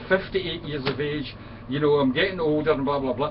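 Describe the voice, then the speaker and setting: A man with a Scottish accent speaks in an animated tone over noticeable background noise. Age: 50s. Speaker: friend of the channel owner. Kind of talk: casual chat.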